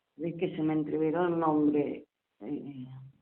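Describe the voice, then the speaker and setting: Flat and monotone, a woman talks at a moderate pace in a very deep, low pitch. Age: 70s. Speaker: local author, elderly resident. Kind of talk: interview, life story. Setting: at home, on the balcony.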